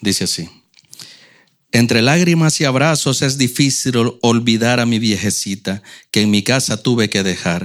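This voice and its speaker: A man speaks at a medium pitch with ordinary pitch variation. His pace is fairly slow, with long, frequent pauses. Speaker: church member reading poems. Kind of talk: reading aloud.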